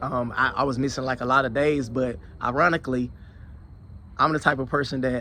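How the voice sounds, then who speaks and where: Using a bright, sharp tone, a man speaks at medium pitch and a fairly quick pace with fairly even intonation. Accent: Alabama. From Alabama, US South. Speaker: security professional and YouTuber. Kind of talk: casual vlog monologue. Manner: conversational, with repetitions and fillers.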